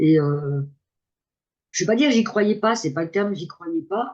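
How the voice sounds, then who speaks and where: A woman talks at a very slow pace with lively intonation. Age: 60s. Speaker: coaching client giving testimonial. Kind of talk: testimony. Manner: halting.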